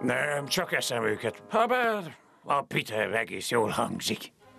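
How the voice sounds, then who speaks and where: The speaker uses a put-on character voice. It sounds raspy. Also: man, medium pitch for a man. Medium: fan dub. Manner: gruff, curt.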